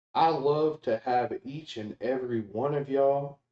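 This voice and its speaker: A man with an American accent speaks at a fairly slow pace in an unremarkable speaking voice, his pitch medium and its variation ordinary. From United States. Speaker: video game streamer. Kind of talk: casual live-stream chat with viewers. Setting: live stream. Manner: casual, filler-heavy.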